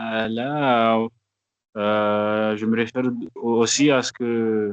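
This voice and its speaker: A man talks at a very slow pace in a flat monotone, the sound dry and close with no echo. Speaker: student participant. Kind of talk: class participation. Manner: halting, hesitant.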